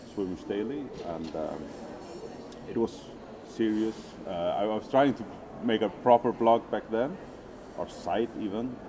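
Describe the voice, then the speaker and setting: Noticeable background noise sits behind a man speaking at a fairly slow pace. His medium pitch shows ordinary variation, broken by long, frequent pauses. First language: Faroese. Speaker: swimming federation president. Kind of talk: interview. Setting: convention venue. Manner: halting.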